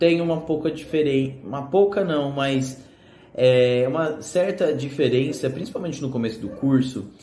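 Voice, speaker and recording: Amid noticeable background noise and audible room echo, a man with fairly high pitch speaks at a fairly slow pace with ordinary pitch variation. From Brazil, São Paulo. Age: 20s. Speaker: economics student. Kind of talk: casual video presentation. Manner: hesitant, many fillers.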